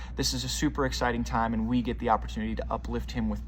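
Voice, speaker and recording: A man races through his speech at a very fast pace while audible room echo and noticeable background noise fill the recording. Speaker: children's ministry leader. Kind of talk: volunteer announcements video. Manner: upbeat.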